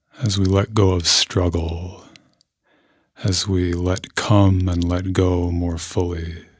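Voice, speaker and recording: A man speaks very slowly in a very deep, low voice, his intonation flat and monotone, his tone calm and soothing, and his delivery somewhat breathy. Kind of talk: guided meditation. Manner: slow, calm, soothing, with long pauses between gentle instructions; soft-spoken, measured and unhurried.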